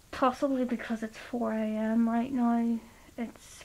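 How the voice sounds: Delivered at a fairly slow pace, the voice carries vocal fry and a slightly mellow tone. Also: woman.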